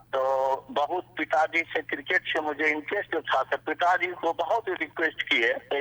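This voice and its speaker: A fairly high-pitched man's voice with ordinary pitch variation, over noticeable background noise. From India, Bihar (Darbhanga district). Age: 70s. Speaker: radio listener, shopkeeper and farmer. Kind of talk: interview testimony.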